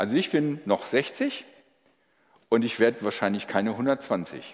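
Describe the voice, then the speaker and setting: Very wide swings mark the pitch. Behind it lies a silent background in a very clean recording. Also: man. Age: 60s. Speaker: pastor. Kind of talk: sermon.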